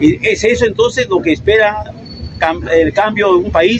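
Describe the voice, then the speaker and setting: Against noticeable background noise, a high-pitched man speaks with lively intonation. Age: 70s. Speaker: member of the public in street debate. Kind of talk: heated debate. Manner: halting.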